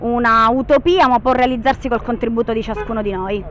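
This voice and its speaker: The sound is dry with no echo, with light background noise. A woman talks at a fairly quick pace. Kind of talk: interview answer. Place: street. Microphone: handheld.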